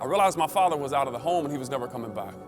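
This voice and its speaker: Music plays in the background as a man with an American accent speaks with lively intonation. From South Carolina. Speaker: keynote speaker. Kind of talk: motivational keynote speech.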